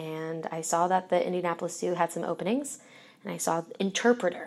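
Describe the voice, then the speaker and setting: A woman with an American accent talks at a fairly quick pace with a fairly low pitch and an ordinary speaking voice. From US Northeast, Philadelphia. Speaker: zoo educator. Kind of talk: interview.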